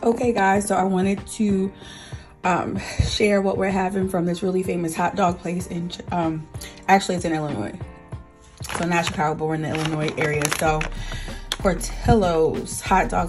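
Clear music plays in the background while a woman speaks. She goes at a moderate pace with fairly even intonation and long, frequent pauses. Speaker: food vlogger. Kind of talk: casual vlog chat. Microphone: phone near.

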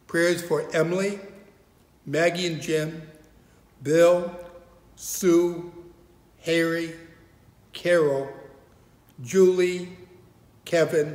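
A man talks at a very slow pace, with long, frequent pauses and fairly even intonation. His pitch is fairly high, and his tone is slightly mellow.

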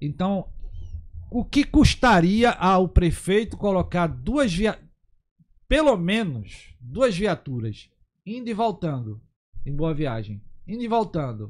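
A man of high pitch speaks at a very slow pace, leaving long, frequent pauses. His pitch swings very widely. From interior of Pernambuco, Brazil. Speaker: municipal guards association president. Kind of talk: talk show interview. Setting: studio.

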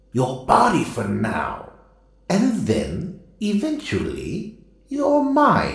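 With clear echo around him, a man uses a put-on character voice, high-pitched and at a very slow pace. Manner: stern, lecturing.

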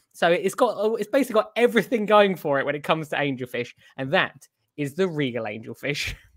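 Against a quiet background, a man with a British accent and a high pitch talks very fast, his pitch swinging very widely. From UK. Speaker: coral shop owner. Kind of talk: casual chat. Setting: video call. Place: home room.

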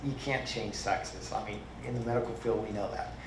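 Background noise is noticeable. There is also audible echo from the room. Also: man. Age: old. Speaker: retired medical worker, public commenter. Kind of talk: public comment at school board meeting. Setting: board meeting in a public hall. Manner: halting, with many fillers.

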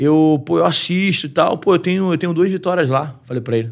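At a fairly quick pace, a man speaks high with lively intonation over a quiet background. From Brazil. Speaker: MMA fighter; podcast guest. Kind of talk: casual chat. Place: studio. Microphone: studio mic.

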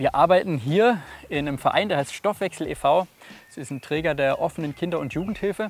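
Speaking at a fairly quick pace, a man with a high-pitched voice shows ordinary pitch variation and big swings in loudness, in a dry recording with no echo. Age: 20s. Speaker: youth and family social worker. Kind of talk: video interview testimony. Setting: filmed on location. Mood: earnest, engaged. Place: street. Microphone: lapel.

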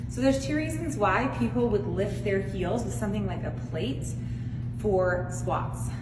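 The speech moves at a moderate pace with music playing in the background. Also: woman. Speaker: fitness coach. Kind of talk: tutorial. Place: gym. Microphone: camera far.

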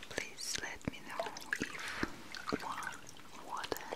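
A woman speaks in a whisper. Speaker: ASMR creator playing a spa attendant. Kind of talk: soft roleplay talk and sponsor read. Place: home room.

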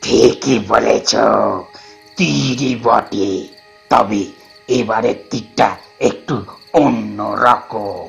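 A man performs a put-on character voice at medium pitch and a very slow pace. Faint music sits in the background. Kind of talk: audio drama.

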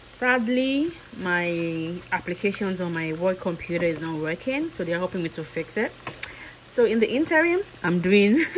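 A woman talks at a fairly slow pace. Light background noise is audible. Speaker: vlogger. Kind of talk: casual vlog chat. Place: kitchen. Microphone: phone near.

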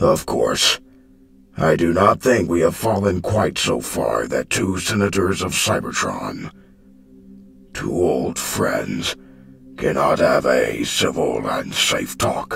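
In a put-on character voice, a man speaks raspy and at a very deep, low pitch. His pace is fairly slow. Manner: calm, formal, persuasive.

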